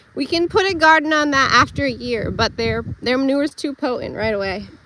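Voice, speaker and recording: A woman projects a raised, high-pitched voice with lively intonation. Noticeable background noise is present. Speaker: homesteader livestreamer. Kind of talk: casual live stream walkthrough. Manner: stumbles over words, stutters.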